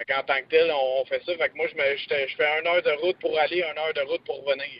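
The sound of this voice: A man talks fast in a fairly high voice with fairly even intonation and a dry, close sound with no echo.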